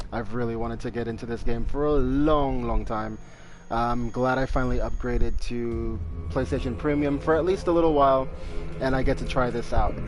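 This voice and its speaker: Audible room echo surrounds a man talking at a fairly quick pace, his medium pitch moving with ordinary variation. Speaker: gaming streamer. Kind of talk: gameplay commentary. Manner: soft-spoken.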